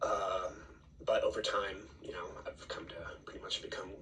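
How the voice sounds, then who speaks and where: A man talks at a fairly quick pace in an American accent. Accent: sounds fully American in English. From Peru and Bolivia, then US East Coast from age 12. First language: Spanish. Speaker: student. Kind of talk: class presentation. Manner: hesitant, many fillers.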